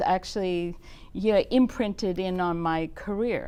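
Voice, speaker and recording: Speaking at a fairly slow pace, a woman talks in an Australian accent. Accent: Australian accent, noticeable. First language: German. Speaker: nonprofit executive director. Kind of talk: talk show interview. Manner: energetic.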